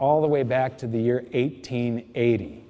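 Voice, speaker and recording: Here a man speaks fairly quickly with a dark, mellow tone. His pitch is medium, with ordinary variation. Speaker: precious metals investment speaker. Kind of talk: lecture.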